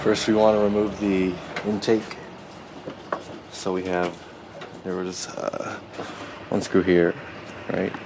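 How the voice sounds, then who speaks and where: Long, frequent pauses break up very slow speech, with noticeable background noise throughout. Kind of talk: car repair tutorial narration. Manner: casual.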